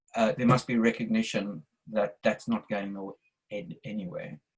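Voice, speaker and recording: Speaking at a fairly slow pace, a man with a South African accent uses lively intonation. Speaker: audience member in interfaith discussion. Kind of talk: q&a statement at online talk. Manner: halting, with restarts.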